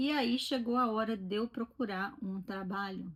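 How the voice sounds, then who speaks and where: A woman speaks at a fairly slow pace, somewhat breathy. Her pitch varies in an ordinary way. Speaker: vlogger. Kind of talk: casual chat. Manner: conversational.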